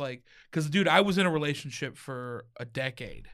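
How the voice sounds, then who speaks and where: An unremarkable speaking voice with an American accent moves at a moderate pace with lively intonation in a very clean recording with a silent background. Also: man. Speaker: stand-up comedian. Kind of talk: casual chat. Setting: studio.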